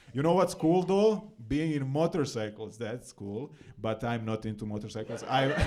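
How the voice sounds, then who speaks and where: Over noticeable background noise, a man with a Serbian accent talks at a moderate pace and medium pitch, with very wide pitch swings. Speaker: comedian. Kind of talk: stand-up. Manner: halting, many fillers and repetitions.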